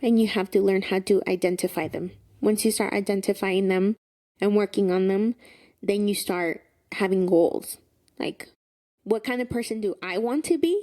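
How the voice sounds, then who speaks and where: A woman with a Spanish accent speaks at a moderate pace in a medium pitch, her dark, mellow tone showing ordinary pitch variation and long, frequent pauses on a very clean recording with a silent background. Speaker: podcast co-host. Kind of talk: casual chat.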